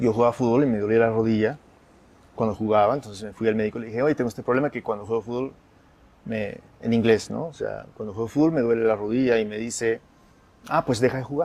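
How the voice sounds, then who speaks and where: A man talks at a very fast pace. His medium-pitched voice keeps a fairly even intonation. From United States, Peruvian family. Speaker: writer and radio founder. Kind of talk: interview conversation.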